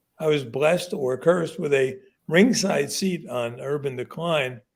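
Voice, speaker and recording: This man has a normal speaking voice, an American accent and a fairly high pitch. He talks at a fairly slow pace with lively intonation. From Newark, New Jersey. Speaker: author. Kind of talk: interview.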